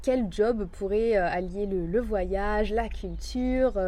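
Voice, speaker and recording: Audible room echo surrounds a woman's voice. Her pitch is medium and her tone dark and mellow. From Marseille, raised abroad. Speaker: life coach. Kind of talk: interview.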